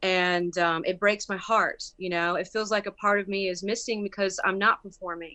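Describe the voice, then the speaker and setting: Speaking at a moderate pace, a woman with a medium pitch shows ordinary pitch variation. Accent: Southern US. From US South, rural Bladen County, North Carolina. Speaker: musician and actress. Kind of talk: interview. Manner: halting, many fillers.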